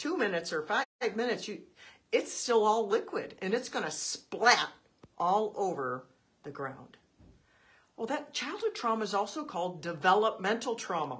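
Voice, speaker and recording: Swinging very widely in pitch, a woman talks in a fairly high register. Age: 60s. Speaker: podcaster on trauma. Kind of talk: casual monologue. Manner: conversational.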